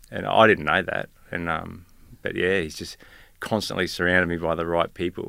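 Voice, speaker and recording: With an Australian accent, a man speaks at a moderate pace in a very deep, low pitch with a bright, sharp tone and fairly even intonation, on a very clean recording with a silent background. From Tasmania, Australia. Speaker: police officer. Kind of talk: casual interview. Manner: quiet, hesitant with many fillers.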